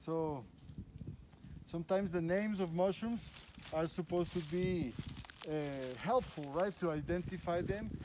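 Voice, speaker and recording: Very even loudness and ordinary pitch variation at a moderate pace, broken by long, frequent pauses. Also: man, high pitch for a man. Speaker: biologist and mushroom guide. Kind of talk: field guided walk explanation. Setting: outdoors in forest. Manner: halting with many fillers and repeats.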